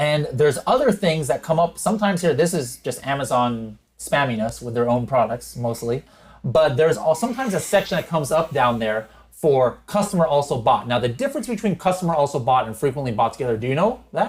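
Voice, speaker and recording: Somewhat breathy and fairly high-pitched, a man talks very fast with lively intonation. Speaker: e-commerce software educator and podcast host. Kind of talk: screen-share tutorial. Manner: unscripted, occasional stutters; casual, conversational.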